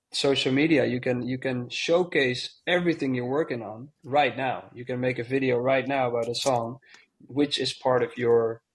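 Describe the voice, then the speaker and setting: Here a man speaks with a Dutch accent at a medium pitch. His pace is moderate and his intonation fairly even. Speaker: DJ and producer. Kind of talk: casual chat.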